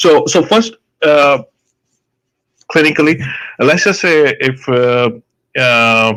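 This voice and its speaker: A man with a strong Indian accent, fairly high-pitched and bright, sharp in tone, very slow with long, frequent pauses and very even loudness. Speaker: psychiatrist, guest doctor. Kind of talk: call-in debate discussion. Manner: halting, many fillers.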